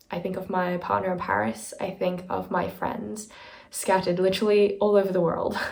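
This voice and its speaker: A woman talks at a moderate pace in a room with audible echo. Noticeable background noise runs underneath. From South Africa. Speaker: vlogger. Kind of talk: personal vlog monologue.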